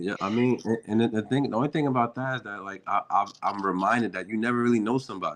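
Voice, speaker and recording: A man with an American accent races along at a very fast pace with hardly any pauses, using a medium pitch and ordinary pitch variation. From New Jersey, Newark. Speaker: rapper. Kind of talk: interview. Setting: live stream. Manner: halting, repetitive.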